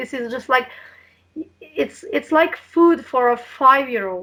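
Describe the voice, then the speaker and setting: In a Slovene accent, a woman speaks at a fairly slow pace with a high pitch. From Slovenia. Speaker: health and diet coach. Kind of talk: interview.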